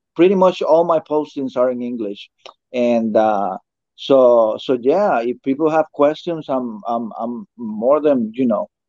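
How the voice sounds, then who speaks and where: In a Spanish accent, a man speaks fairly slowly with a dark, mellow tone and lively intonation, the sound dry and close with no echo. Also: medium pitch for a man. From Costa Rica and Puerto Rico. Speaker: toy collector YouTuber. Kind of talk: casual interview chat.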